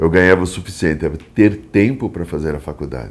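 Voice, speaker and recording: A man at a fairly quick pace, with vocal fry and ordinary pitch variation. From Brazil, São Paulo city. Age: 60s. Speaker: psychologist and shaman. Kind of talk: testimony. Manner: halting.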